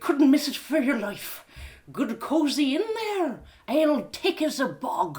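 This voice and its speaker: A woman speaks in a put-on character voice, high-pitched and fairly slow. Her pitch swings very widely up and down. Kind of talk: live storytelling reading.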